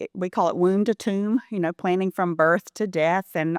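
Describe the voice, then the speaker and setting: A woman with a Southern US accent at a fairly quick pace, medium pitch, fairly even intonation, a dry, close sound with no echo, and a very clean recording with a silent background. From US South, Elberton, Georgia. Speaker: philanthropy consultant. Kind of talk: interview.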